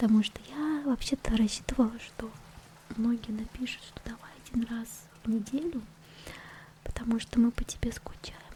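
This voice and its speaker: Soft-spoken and whispering at a moderate pace, a woman leaves long, frequent pauses, her loudness swinging widely over noticeable background noise. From Russia. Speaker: ASMR creator and vtuber. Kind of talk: casual ASMR talk to camera. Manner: quiet, whispered, soft-spoken.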